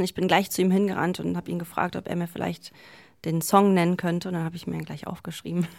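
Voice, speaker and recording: This woman's voice sits fairly low. She speaks with flat, monotone intonation. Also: very clean recording, silent background. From Berlin, Germany. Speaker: DJ. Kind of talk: interview.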